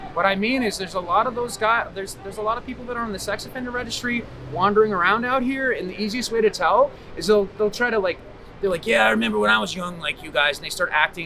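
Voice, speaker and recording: A man's raised, projected voice, high in pitch, with a Boston accent and lively intonation over noticeable background noise. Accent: Boston-area New England. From Massachusetts. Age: 40s. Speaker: homeless man. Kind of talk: street interview answer. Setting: outdoors. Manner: enthusiastic, passionate.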